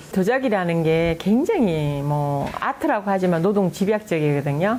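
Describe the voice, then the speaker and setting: In a Daegu accent, a woman speaks with a dark, mellow tone. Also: medium pitch for a woman, lively intonation, moderate pace. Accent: Gyeongsang (Daegu) dialect. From South Korea, Daegu. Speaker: potter. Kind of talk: interview.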